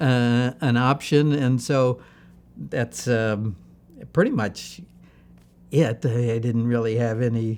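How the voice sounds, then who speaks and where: A man with a Midwestern American accent talks very slowly at medium pitch, with fairly even intonation and long, frequent pauses. The recording is very clean, with a silent background. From US Midwest, Ohio (Barberton near Akron). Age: 70s. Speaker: computer architect. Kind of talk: oral history interview. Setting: museum interview. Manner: hesitant, many fillers.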